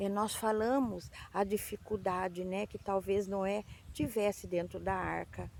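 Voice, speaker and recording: A woman's medium-pitched voice moves at a fairly slow pace. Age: 60s. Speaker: children's Bible storyteller. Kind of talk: Bible story for children. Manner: halting.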